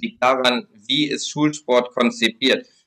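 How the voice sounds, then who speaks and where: A man uses a normal speaking voice at a medium pitch, moving at a fairly slow pace with fairly even intonation. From Lower Saxony, Germany (Braunschweig). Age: 20s. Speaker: sports policy spokesperson for a political party. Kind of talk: podcast interview.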